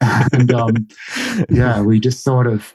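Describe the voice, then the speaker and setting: A man's medium-pitched voice with a slight Australian accent. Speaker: market gardener. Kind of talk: interview. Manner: halting, many fillers.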